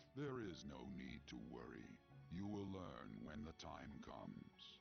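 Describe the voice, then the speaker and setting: Over clear background music, a man puts on a character voice with a very deep, low pitch, very wide pitch swings and a moderate pace. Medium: video game. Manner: formal, stately.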